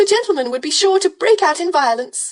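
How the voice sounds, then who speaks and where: A woman puts on a squeaky character voice, extremely high in pitch with very wide pitch swings, at a fairly quick pace. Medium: read story. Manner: gushing, sugary.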